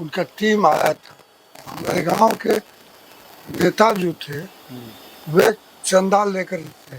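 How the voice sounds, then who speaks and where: A man's high-pitched voice is heard with noticeable background noise behind it. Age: 80s+. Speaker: retired engineer and social worker. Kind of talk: interview answer.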